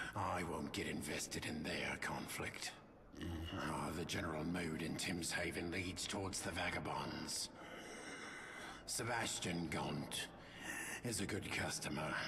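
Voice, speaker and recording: A man's put-on character voice, very deep and low in pitch, at a fairly slow pace with long, frequent pauses over loud background noise. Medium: game stream. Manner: measured, reflective.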